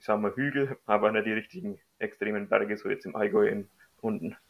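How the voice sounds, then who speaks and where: Speaking at a moderate pace and a medium pitch with fairly even intonation, a man has an unremarkable speaking voice. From Middle Franconia, Bavaria. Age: 30s. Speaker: amateur runner. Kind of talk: casual interview.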